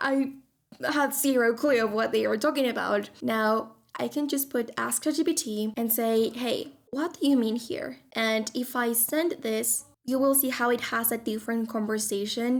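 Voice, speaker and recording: A woman speaks with a non-native accent at a fairly high pitch and ordinary pitch variation. The recording is very clean, with a silent background. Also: moderate pace. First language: not English. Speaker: tech tutorial youtuber, social media content coach. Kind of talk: tutorial.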